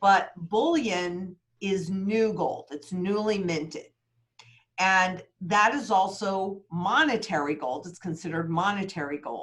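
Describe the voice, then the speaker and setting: A woman's energetic, medium-pitched voice at a fairly slow pace, with ordinary pitch variation and big swings in loudness. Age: 60s. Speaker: precious metals market analyst. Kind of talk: interview.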